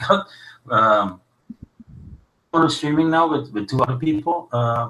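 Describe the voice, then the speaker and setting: A man's fairly high, lively voice at a fairly slow pace. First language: Dutch. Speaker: live stream host. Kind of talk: casual chat. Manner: halting.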